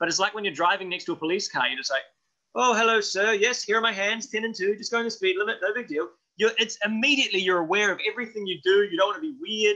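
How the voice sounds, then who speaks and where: Against a quiet background, a man talks at a very fast pace in a raised, projected voice. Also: lively intonation. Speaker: actor interviewee. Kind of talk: interview answer. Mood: playful, self-mocking. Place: home room. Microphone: webcam.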